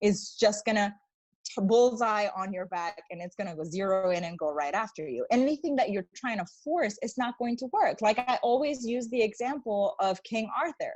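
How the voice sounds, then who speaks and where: Somewhat breathy and fairly high in pitch, a woman speaks in an animated tone with lively intonation. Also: moderate pace. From Mexico City. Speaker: spiritual coach. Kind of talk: podcast interview.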